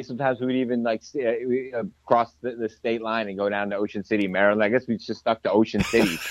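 Speaking with an American accent, a man talks very fast at a medium pitch. He hardly pauses at all. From New Jersey. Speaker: hot sauce maker and business owner. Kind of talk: casual interview. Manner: animated.

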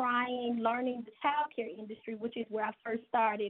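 A woman talks at a moderate pace in an unremarkable speaking voice. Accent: American. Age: 50s. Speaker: business owner. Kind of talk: interview.

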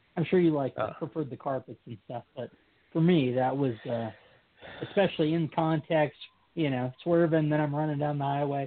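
A man's fairly high-pitched, normal speaking voice at a moderate pace, with ordinary pitch variation. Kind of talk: casual chat.

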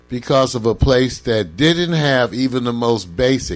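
A man with a plain, everyday voice and a medium pitch speaks at a fairly slow pace. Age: 60s. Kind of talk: casual chat. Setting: livestream.

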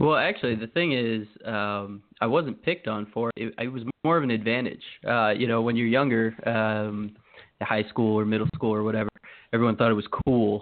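Speaking with an American accent at a moderate pace, a man uses a medium pitch with ordinary variation. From Maryland. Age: 30s. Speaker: fantasy football analyst. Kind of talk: casual interview.

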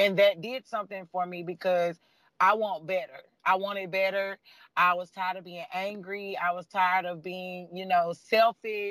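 A man with a high pitch and a bright, sharp tone talks at a moderate pace in a monotone, flat way, his loudness swinging widely, the sound dry and close with no echo. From Nashville, Tennessee. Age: 20s. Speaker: coaching client sharing story. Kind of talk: casual interview, testimony.

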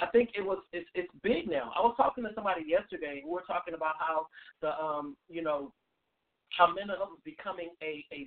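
This man talks at a fairly quick pace and a high pitch, with ordinary pitch variation and a dry, close sound with no echo.

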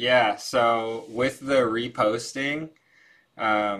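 A man uses an ordinary speaking voice with fairly even intonation. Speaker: participant. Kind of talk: casual group discussion. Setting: video call.

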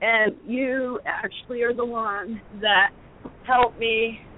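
In a southeast English accent? no—A woman with an American accent speaks over noticeable background noise. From Connecticut. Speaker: caller. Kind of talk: casual chat. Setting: phone call.

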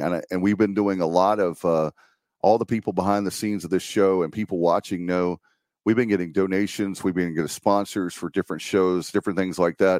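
A man with an American accent talks fairly quickly in a very deep, low pitch with fairly even intonation. The recording is very clean and dry, close with no echo, over a silent background. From eastern North Carolina. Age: 50s. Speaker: podcast host and local political candidate. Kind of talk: campaign livestream monologue.

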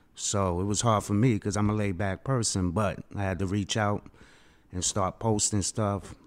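On a very clean recording with a silent background, a man with a New York accent and fairly low pitch speaks at a fairly slow pace in a monotone, flat intonation. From Queens, New York. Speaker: first-time author. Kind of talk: panel discussion. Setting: studio.

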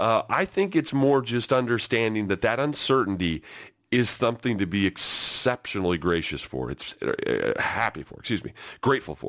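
At a moderate pace and medium pitch, a man speaks with vocal fry and very wide pitch swings. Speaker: sports podcast host, former football player. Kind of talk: solo podcast monologue.

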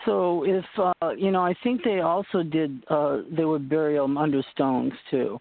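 A woman speaks with a very deep, low pitch and lively intonation. Her loudness stays very even. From Boston. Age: 60s. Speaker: radio host. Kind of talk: radio interview.

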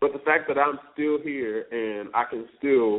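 The speaker is a man. His voice sits at a fairly high pitch. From northeast Florida (Palatka, near Jacksonville). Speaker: R&B singer. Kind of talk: casual interview.

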